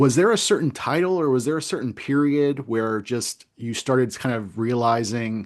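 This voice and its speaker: Hardly pausing, a man with a normal speaking voice talks at a medium pitch and a moderate pace with ordinary pitch variation. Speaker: interview host. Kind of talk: live-streamed interview hosting.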